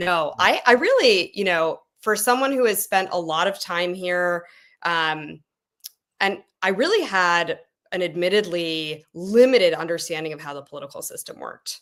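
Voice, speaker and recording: An American accent marks this woman's unremarkable speaking voice, fairly low in pitch with ordinary pitch variation. She speaks at a moderate pace with big swings in loudness. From United States. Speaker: political volunteer. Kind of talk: podcast interview.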